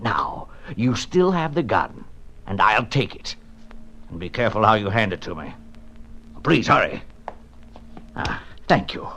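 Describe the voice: In a put-on character voice with a bright, sharp tone, the speaker moves at a fairly slow pace with big pitch swings and long, frequent pauses. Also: man, fairly low pitch for a man.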